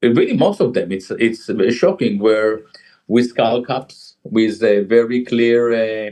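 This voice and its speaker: Speaking at a very slow pace with an Israeli accent, a man keeps a medium pitch, fairly even intonation and a dark, mellow tone. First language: Hebrew. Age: 60s. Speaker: jazz musician and author. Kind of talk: interview. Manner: halting.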